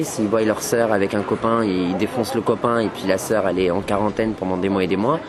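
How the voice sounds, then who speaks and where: This man's voice sits fairly low, with ordinary rises and falls in pitch, and he moves at a fairly quick clip while background noise is noticeable. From France, Rouen suburbs, Algerian family. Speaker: youth interviewee. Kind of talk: documentary interview. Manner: hesitant, many fillers.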